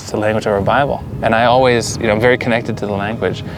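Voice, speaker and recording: There is noticeable background noise behind this recording. A man with an American accent talks at a very fast pace in a medium pitch, his intonation fairly even. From US, Pennsylvania (Allentown). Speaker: settler interviewee. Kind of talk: interview. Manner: halting.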